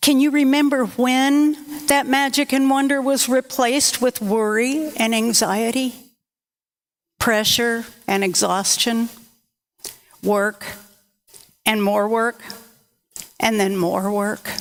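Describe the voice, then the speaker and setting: A woman speaks at a high pitch, very slowly, with ordinary pitch variation. Her loudness stays very even, broken by long, frequent pauses. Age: old. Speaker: minister. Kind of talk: sermon.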